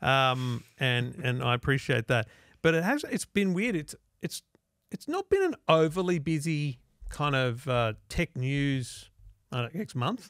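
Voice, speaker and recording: Someone talks in an Australian accent at a fairly slow pace with ordinary pitch variation. The sound is dry with no echo, over a quiet background. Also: man, fairly high pitch for a man. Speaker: tech podcast host. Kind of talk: casual chat. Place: studio. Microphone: studio mic.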